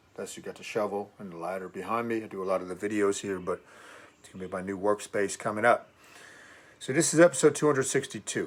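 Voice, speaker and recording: A man at a very fast pace, with a fairly low pitch, ordinary pitch variation and big swings in loudness. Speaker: fitness and fasting coach. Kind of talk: casual vlog monologue. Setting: garage. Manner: casual, with fillers.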